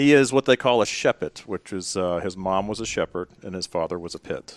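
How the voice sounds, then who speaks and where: A man with a Tennessee accent talks fairly quickly, with ordinary pitch variation and big swings in loudness. The recording is very clean and dry, close with no echo and a silent background. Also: fairly low pitch for a man. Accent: Southern US (Tennessee). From US South, Memphis, Tennessee. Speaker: nurse anesthetist, healthcare executive. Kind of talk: podcast interview. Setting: recorded at a conference.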